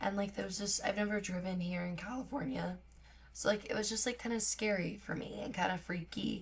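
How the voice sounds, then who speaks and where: A woman's somewhat breathy voice at a fairly quick pace, with ordinary pitch variation. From US Midwest, Missouri. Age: 20s. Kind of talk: casual vlog talk.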